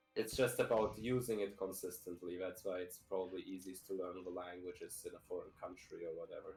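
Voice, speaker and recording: Music in the background behind a man talking at a fairly quick pace with hardly any pauses. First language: Russian. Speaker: speedrunner. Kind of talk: casual chat.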